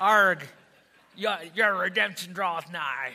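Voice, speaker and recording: At a fairly slow pace, the voice is a put-on character act. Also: man, high pitch for a man. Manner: playful, exaggerated.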